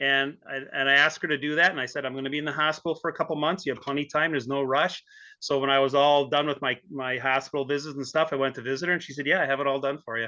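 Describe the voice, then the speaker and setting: A man rattles on at a very fast pace with hardly any pauses, his fairly high voice flat and monotone. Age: 60s. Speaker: obstacle race brand ambassador, cancer survivor. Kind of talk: podcast interview.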